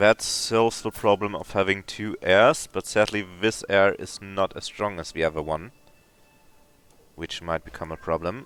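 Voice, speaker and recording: A speaker with a German accent talks at a moderate pace. Music plays in the background. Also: man. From Germany. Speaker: video game streamer. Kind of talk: live gameplay commentary. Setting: live stream with chat.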